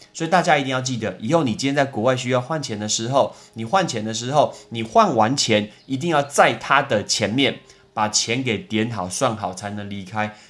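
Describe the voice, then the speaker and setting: In an animated tone, a man at medium pitch speaks at a moderate pace with lively intonation and hardly any pauses. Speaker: podcast host, English teacher. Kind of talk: casual educational monologue.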